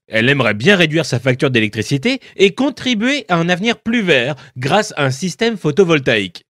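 In a quiet background with dry sound and no echo, a man talks at a fairly quick pace and fairly high pitch, his voice making very wide pitch swings. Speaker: voice actor. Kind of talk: explainer video narration. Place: studio.

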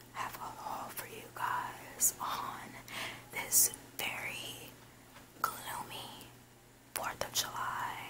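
The words come out in a whisper. It is very slow, with clear background noise. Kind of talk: ASMR haul. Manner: whispered.

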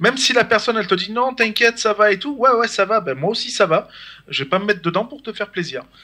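A raised, projected male voice, high-pitched with a bright, sharp tone, at a very fast pace. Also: ordinary pitch variation. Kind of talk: casual chat. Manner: halting.

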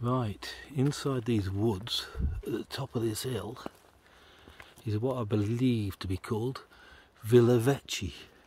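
A man talks at a fairly slow pace with long, frequent pauses. His voice is somewhat breathy, his intonation fairly even, and the sound dry with no echo. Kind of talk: casual vlog commentary. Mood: relaxed, admiring. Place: forest. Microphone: phone near.

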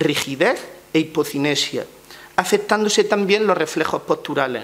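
A man is speaking here. His pitch variation is ordinary. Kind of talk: press conference statement. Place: meeting room. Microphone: podium.

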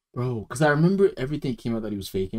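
A quiet background and a man's very fast pace. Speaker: reaction streamer. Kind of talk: casual commentary. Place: home room. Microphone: headset.

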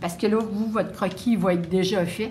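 Over light background noise, a woman talks with a Quebec accent and fairly even intonation. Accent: Québécois French. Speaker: painting instructor; painting teacher. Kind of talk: live painting demonstration; tutorial. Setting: live stream at open house. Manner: hesitant, many fillers. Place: classroom.

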